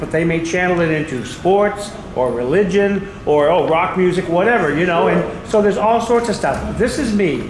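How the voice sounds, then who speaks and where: A man speaks with a high voice and lively intonation. Noticeable background noise and audible room echo surround him. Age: 60s. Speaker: audience member, postal worker. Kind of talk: audience comment at panel.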